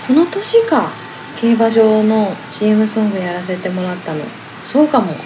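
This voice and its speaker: At a moderate pace, a woman speaks with lively intonation and a fairly high pitch, with audible room echo and noticeable background noise. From Hokkaido, Japan. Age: 30s. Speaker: singer-songwriter. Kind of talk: casual chat. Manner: laughs often.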